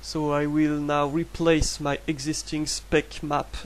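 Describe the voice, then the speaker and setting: In a French accent, a man speaks at a very slow pace. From France. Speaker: 3D artist. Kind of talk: software tutorial narration. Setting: low-quality microphone. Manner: hesitant, casual.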